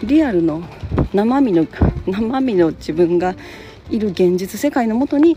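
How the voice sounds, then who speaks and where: A woman speaks with very wide pitch swings and long, frequent pauses over noticeable background noise. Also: medium pitch for a woman. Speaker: podcast host. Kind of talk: casual solo talk. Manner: relaxed, many fillers.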